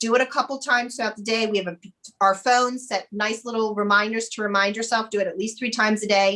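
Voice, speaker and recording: With an energetic, bright and sharp tone, a woman speaks very fast in a fairly high voice. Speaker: mindfulness coach and business owner. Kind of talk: interview. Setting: podcast recording.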